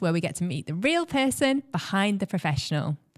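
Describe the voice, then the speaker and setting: A woman speaks at a medium pitch with very wide swings in her pitch. She talks fairly quickly in a dry, close sound without echo, over noticeable background noise. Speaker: podcast host. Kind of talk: podcast intro.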